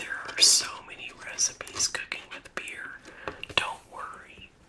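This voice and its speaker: A woman whispers at a very slow pace in a relaxed tone. Noticeable background noise runs behind her. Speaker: ASMR creator. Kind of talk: ASMR book review. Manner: soft-spoken, relaxed.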